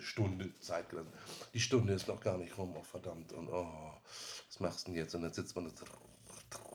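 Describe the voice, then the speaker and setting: Very deep, low pitch from a man, fairly even in intonation and moderate in pace. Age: 50s. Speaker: IT specialist, former smoker. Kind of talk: interview.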